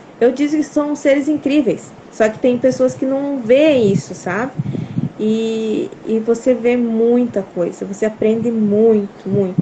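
Noticeable background noise runs under a woman speaking at a fairly slow pace. Her pitch is fairly high, with ordinary variation. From Brazil, Paraná. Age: 30s. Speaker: farmer and mother. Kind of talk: testimony. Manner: halting.

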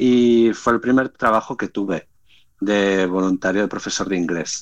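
Very deep and low, a man's voice moves at a fairly slow pace. His pitch variation is ordinary. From Spain. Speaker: startup founder. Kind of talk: casual chat.

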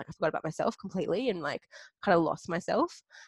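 A woman's voice in a dry, close sound with no echo. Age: 20s. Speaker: podcast host. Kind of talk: casual chat. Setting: video call. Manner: animated.

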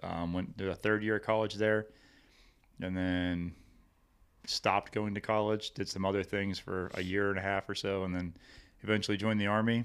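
Fairly low pitch from a man with a Midwestern American accent, monotone and flat, at a moderate pace with long, frequent pauses, on a very clean recording with a silent background. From Missouri, Hillsboro near St. Louis. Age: 30s. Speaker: army veteran. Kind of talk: casual interview chat.

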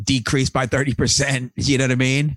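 His pitch sits at a medium level and his pace is moderate. This man has a plain, everyday voice. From US Northeast, Long Island, New York. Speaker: podcast host. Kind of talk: casual chat.

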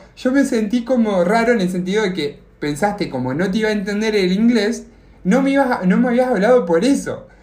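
A man's high-pitched voice with lively intonation, a fairly quick pace and audible room echo. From Argentina. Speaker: podcast co-host. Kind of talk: casual chat, telling an anecdote. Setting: video call.

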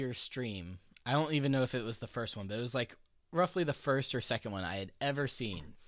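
Speaking in a normal speaking voice, a man keeps a medium pitch. His delivery is fairly quick with lively intonation. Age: 20s. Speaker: podcast host and programmer. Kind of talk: casual chat. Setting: remote call with echo.

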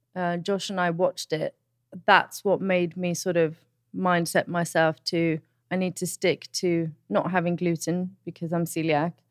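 Recorded dry and close without echo, a woman speaks in a monotone, flat way at a fairly slow pace with a fairly low pitch. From educated in England, Italian Swedish background. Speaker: podcast co-host, mother. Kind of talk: casual chat.

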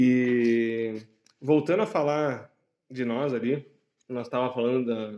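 Speaking at a very slow pace with long, frequent pauses, a man with a southern Brazilian accent has a dark, mellow tone. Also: medium pitch for a man, ordinary pitch variation. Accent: gaúcho Brazilian Portuguese. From Caxias do Sul, Rio Grande do Sul, Brazil. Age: 30s. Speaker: podcast co-host. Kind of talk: casual chat. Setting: outdoor kiosk, cold night.

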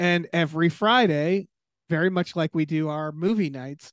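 A man with a normal speaking voice and an American accent talks at a fairly high pitch, against a quiet background with a dry, close sound and no echo. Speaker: writer and podcaster. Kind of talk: casual chat.

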